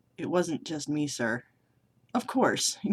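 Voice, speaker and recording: A man puts on a raspy character voice with a fairly high pitch. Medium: solo performance. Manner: modest, deferential.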